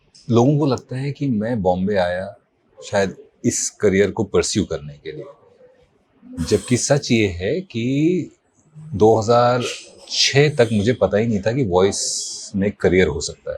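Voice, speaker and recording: A man's somewhat breathy, medium-pitched voice with long, frequent pauses. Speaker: voice artist; actor. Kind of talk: interview answer.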